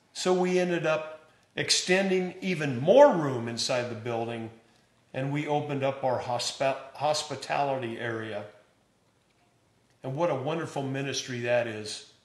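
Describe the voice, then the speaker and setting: Ordinary pitch variation at a moderate speed, plus echo from the room that can be heard. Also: man, fairly high pitch for a man. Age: 70s. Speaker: pastor. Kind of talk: church announcement address. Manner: warm, enthusiastic.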